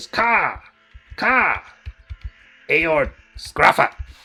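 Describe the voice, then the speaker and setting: A put-on character voice at a middle pitch. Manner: short, clipped.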